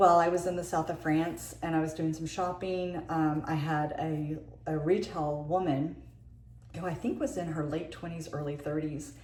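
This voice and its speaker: The voice moves at a moderate pace with fairly even intonation. Audible room echo fills the recording. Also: woman. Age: 60s. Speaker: beauty vlogger. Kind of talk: casual tutorial monologue. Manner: halting.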